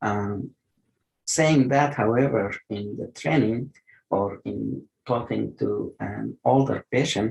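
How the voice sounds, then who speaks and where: A somewhat breathy man with a non-native accent, fairly low pitch and very slow pace. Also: lively intonation. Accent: noticeable non-native. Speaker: geriatric medicine physician. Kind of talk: online lecture and Q&A. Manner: hesitant, many fillers.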